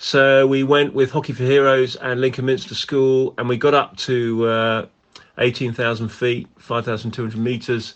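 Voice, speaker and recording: Speaking fairly slowly in an English accent, a man keeps a medium pitch and fairly even intonation. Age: 50s. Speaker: national hockey team manager. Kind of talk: interview.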